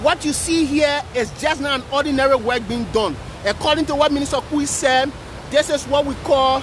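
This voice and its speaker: A fairly quick pace, noticeable background noise, and a dry sound with no echo. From Liberia. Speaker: live video reporter. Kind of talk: live on-location reporting. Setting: outdoors at a park. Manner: animated. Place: beach. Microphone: phone near.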